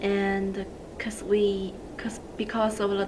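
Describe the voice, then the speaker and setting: Amid noticeable background noise and audible room echo, a woman with a non-native accent and medium pitch talks at a very slow pace. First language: not English. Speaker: social work student. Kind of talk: video testimony.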